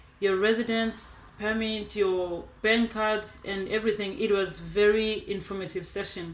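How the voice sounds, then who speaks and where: At a fairly slow pace and with hardly any pauses, a woman speaks in a monotone, flat intonation at a fairly high pitch, with audible room echo. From South Africa, Eastern Cape (Elliotdale). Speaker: scholarship recipient, agriculture graduate student. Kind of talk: personal testimony. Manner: conversational, with hesitations.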